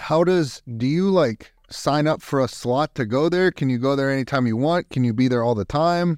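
A man's plain, everyday voice with an American accent, fairly high in pitch, with ordinary pitch variation, very even loudness, a moderate pace, hardly any pauses, and a dry, close sound with no echo. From Youngstown, Ohio. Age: 40s. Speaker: podcast host, Air Force veteran. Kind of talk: casual interview. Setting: video call.

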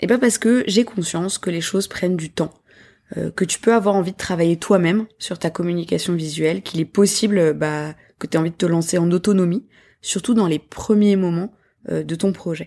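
On a very clean recording with a silent background, a woman speaks at a moderate pace in a medium pitch, with a dark, mellow tone and ordinary pitch variation. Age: 30s. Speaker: podcast host, graphic designer. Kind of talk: solo podcast monologue. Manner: hesitant with fillers.

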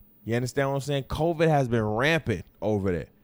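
The man's voice shows ordinary pitch variation. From Detroit. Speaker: podcast host. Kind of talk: casual solo podcast monologue. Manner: many fillers and repetitions.

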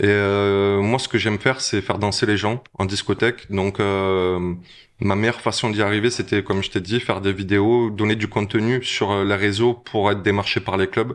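With a quiet background, a man speaks at a moderate pace in a fairly low pitch and a monotone, flat intonation. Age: 40s. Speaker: DJ. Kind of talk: casual interview chat. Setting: restaurant.

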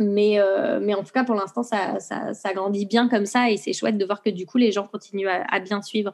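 A woman with an ordinary speaking voice talks at a moderate pace with hardly any pauses. Her medium pitch shows ordinary pitch variation. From France. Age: 30s. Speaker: knitting brand founder. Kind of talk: interview.

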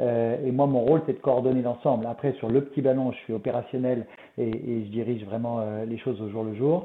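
Fairly even intonation marks this man's speech. His pitch is medium, and his pace is fairly quick. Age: 50s. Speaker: wine company CEO. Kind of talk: interview. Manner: halting.

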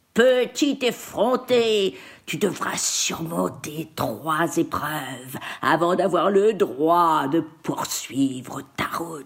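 Cackling in a put-on character voice, the speaker moves at a very slow pace with a menacing tone. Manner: cackling, menacing.

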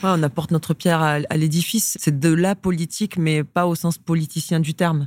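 A woman with an unremarkable speaking voice talks at a fairly low pitch and a moderate pace, with hardly any pauses. Her loudness is very even, her intonation fairly even, and the sound is dry and close with no echo. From rural France. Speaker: sports club executive. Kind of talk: interview conversation.

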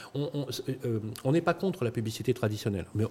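A man with a medium-pitched, somewhat breathy voice and a dark, mellow tone swings his pitch very widely. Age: 50s. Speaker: startup founder. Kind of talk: pitch interview. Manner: hesitant, repeats words.

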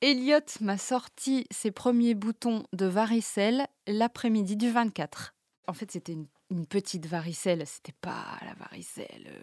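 This woman speaks fairly slowly at a fairly high pitch, with lively intonation. Her loudness swings widely. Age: 30s. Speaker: mother sharing parenting experience. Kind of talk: personal testimony. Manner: hesitant, with fillers and repetitions.

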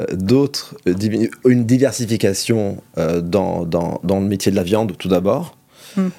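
Very slowly, a man speaks with a dark, mellow tone at a fairly low pitch and ordinary pitch variation. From Monaco. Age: 40s. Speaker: restaurateur and food entrepreneur. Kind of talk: interview. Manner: halting, many repetitions and hesitations.

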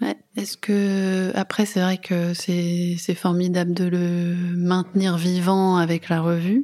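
In a very clean recording with a silent background, a woman speaks at a very slow pace with a fairly low pitch, a dark, mellow tone, monotone, flat intonation and very even loudness. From Boulogne-sur-Mer, Pas-de-Calais. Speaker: podcast host. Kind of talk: interview. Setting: in a car.

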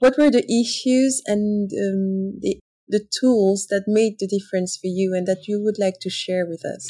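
Speaking in a French accent at a fairly slow pace with hardly any pauses, a woman has a medium pitch, a dark, mellow, somewhat breathy tone and fairly even intonation. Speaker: podcast host and handbag brand founder. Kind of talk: interview.

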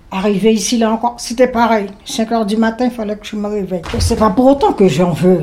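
Against noticeable background noise, a woman with a fairly high pitch speaks at a moderate pace with lively intonation. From French Guiana, Saint-Laurent-du-Maroni. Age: 70s. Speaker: retired emigrant interviewee. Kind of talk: personal testimony interview.

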